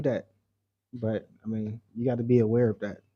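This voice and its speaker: Soft-spoken and dark, mellow in tone, a man with an American accent talks at a moderate pace. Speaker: travel vlogger. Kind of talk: casual livestream chat. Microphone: mic very close to mouth.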